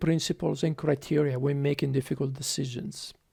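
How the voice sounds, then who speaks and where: A man's dark, mellow tone, in an Italian accent, comes through in a dry, close sound with no echo on a very clean recording with a silent background. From Italy, Tuscany (Lucca). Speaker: public health physician. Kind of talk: speech to students. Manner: halting, many fillers.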